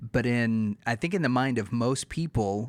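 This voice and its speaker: Here a man has a normal speaking voice and an American accent. His pitch is medium and his pace moderate. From Texas, USA. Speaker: podcast host. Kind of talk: casual podcast interview.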